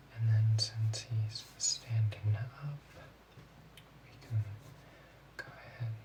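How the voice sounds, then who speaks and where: The speaker talks in a calm tone at a very slow pace, with noticeable background noise. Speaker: ASMR creator playing a drawing teacher. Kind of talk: ASMR role play, drawing class instruction. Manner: soft, slow, calm.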